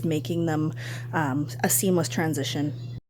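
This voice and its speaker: With very wide pitch swings, a woman talks at a moderate pace as noticeable background noise plays behind her. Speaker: beauty vlogger. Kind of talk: makeup tutorial.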